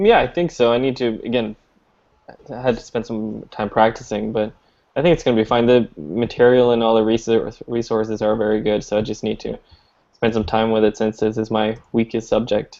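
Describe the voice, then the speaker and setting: A man speaks at a medium pitch with a dark, mellow tone. His intonation stays fairly even, and his pace is fairly quick. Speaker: math student. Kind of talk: casual study group chat.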